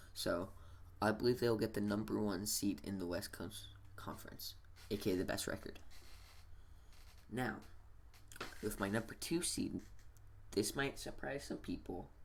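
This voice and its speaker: A man whispers quietly at a moderate pace, leaving long, frequent pauses. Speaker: sports gaming YouTuber. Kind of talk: casual vlog commentary. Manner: whispering-ish, quiet; halting, many fillers.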